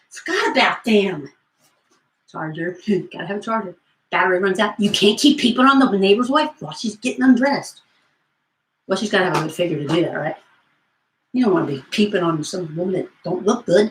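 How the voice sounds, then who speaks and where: With an American accent, this somewhat breathy voice moves at a fairly quick pace and uses lively intonation. Long pauses come often. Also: woman, medium pitch for a woman. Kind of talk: comedic infomercial talk to camera. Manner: goofy, rambling, upbeat.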